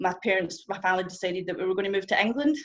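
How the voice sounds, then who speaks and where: A woman's medium-pitched voice with a strong Scottish accent. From Scotland. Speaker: testimony speaker. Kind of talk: testimony. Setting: stage with audience. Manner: fast.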